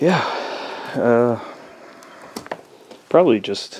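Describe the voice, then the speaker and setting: The speaker has a relaxed tone and a fairly slow pace. Noticeable background noise is present. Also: man. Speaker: travel vlogger. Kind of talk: casual walkthrough narration. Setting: outdoors. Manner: relaxed, hesitant with fillers.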